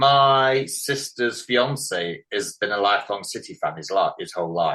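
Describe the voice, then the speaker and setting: A man with an English accent speaks at a fairly slow pace. The background is quiet. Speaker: podcast host. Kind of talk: casual chat.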